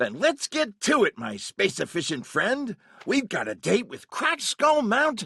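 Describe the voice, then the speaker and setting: Someone performs a put-on character voice pitched fairly high. The pace stays moderate. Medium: video game. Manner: easygoing, jokey.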